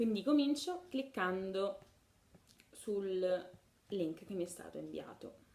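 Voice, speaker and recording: A woman talks in a Neapolitan accent. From Naples. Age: 20s. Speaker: music label promoter. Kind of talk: casual video testimony.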